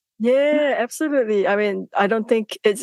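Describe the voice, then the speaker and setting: A normal speaking voice at a moderate pace, ordinary pitch variation, and a dry, close sound with no echo. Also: woman. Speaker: scientist and podcast host. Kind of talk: podcast interview host.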